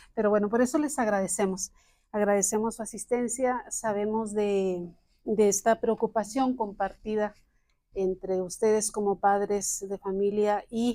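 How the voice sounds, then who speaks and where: On a very clean recording with a silent background, a woman at a medium pitch speaks at a fairly slow pace in a dark, mellow tone with fairly even intonation. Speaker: psychology professor. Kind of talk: lecture. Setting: classroom with audience, recorded.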